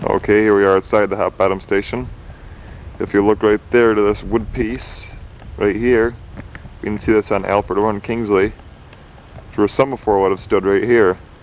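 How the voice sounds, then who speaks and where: Against noticeable background noise, a man with a fairly low pitch talks at a moderate pace in a monotone, flat intonation, with long, frequent pauses. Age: 20s. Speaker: railroad enthusiast. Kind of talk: video narration. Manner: casual.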